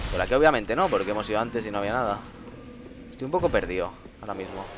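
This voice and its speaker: Over noticeable background noise, a man's speech comes at a very fast pace. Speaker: gaming streamer. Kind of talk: live gameplay commentary. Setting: live stream. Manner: animated.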